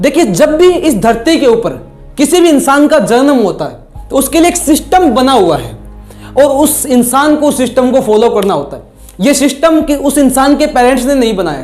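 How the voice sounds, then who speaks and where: Music plays in the background as a man speaks. His pitch is extremely high, with ordinary variation. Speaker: motivational speaker, trainer and life coach. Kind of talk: motivational talk to camera.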